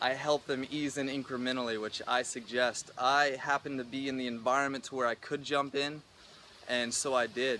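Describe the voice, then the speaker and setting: The man's medium-pitched voice has a bright, sharp tone. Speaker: YouTuber and personal trainer. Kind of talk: personal vlog monologue. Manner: fast; animated.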